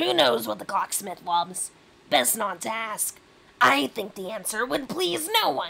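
A woman uses a put-on character voice, fairly high in pitch with a bright, sharp tone and a slightly husky edge. Vocal fry runs through her lively intonation at a fairly slow pace.

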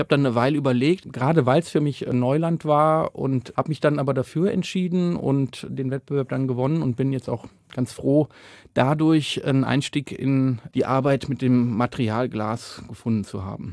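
In a very clean recording with a silent background, a man with a plain, everyday voice speaks at a moderate pace, his medium pitch showing ordinary variation. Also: dry, close sound with no echo. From Rhineland, Cologne. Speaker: painter and artist. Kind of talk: interview.

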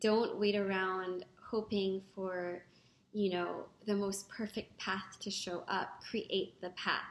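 Speaking very slowly, a woman keeps a monotone, flat intonation. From Philippines, Manila. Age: 30s. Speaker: founder of a women's organization. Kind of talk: video testimonial to camera. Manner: some hesitations and restarts. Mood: earnest, encouraging. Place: home room. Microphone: webcam.

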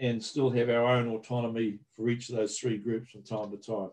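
A man with a New Zealand accent talks at a moderate pace in a medium pitch, his tone dark and mellow. His intonation is monotone and flat, and the background is quiet. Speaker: agricultural research manager. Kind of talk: webinar presentation. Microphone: video call.

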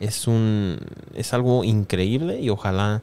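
Intonation is fairly even throughout. A dark, mellow tone colors the voice. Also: man. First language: English (speaking Spanish). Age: 20s. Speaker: YouTuber; news commentator youtuber. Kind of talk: news commentary. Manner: frequent fillers. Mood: exasperated, laughing at times. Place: home room. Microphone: studio mic.

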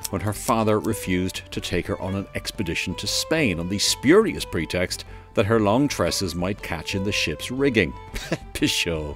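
With music in the background, a man speaks at a moderate pace and a fairly low pitch with lively intonation. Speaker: historian and radio presenter. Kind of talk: light-hearted documentary narration.

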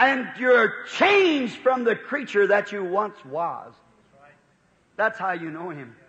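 A man projects his voice at an extremely high pitch, swinging very widely in pitch while speaking fairly slowly. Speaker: preacher. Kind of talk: sermon excerpt. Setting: recorded church sermon from the 1950s.

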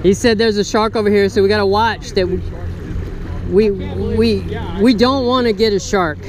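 The sound is dry with no echo, and there is light background noise. The speaker keeps a moderate pace. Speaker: fishing channel host. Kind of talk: casual vlog commentary. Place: waterside. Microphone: phone near.

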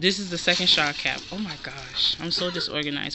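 Speech comes at a moderate pace. There is noticeable background noise. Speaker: haul vlogger. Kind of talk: casual vlog chat. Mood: chatty, a bit disorganized. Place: home room. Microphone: phone near.

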